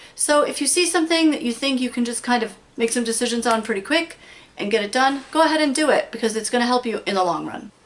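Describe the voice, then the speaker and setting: A woman speaks very fast in a high voice with ordinary pitch variation. Noticeable background noise runs beneath her. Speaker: crafts channel host. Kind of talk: casual tutorial. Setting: craft room at home.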